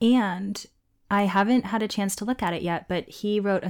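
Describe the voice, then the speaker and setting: An ordinary speaking voice with ordinary pitch variation at a moderate pace, on a very clean recording with a silent background. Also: woman. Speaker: podcast host and essayist. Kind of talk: casual chat.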